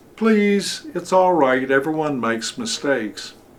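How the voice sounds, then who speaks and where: A man's put-on character voice, gentle in tone and fairly high in pitch. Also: moderate pace. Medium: read story. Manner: gentle, kind.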